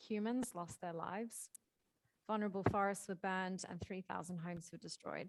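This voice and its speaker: A woman's medium-pitched voice with an Australian accent, fairly quick and fairly even in intonation, on a very clean recording with a silent background. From Australia, Perth. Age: 20s. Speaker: marine conservation charity worker. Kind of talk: prepared talk. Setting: hybrid school event with audience.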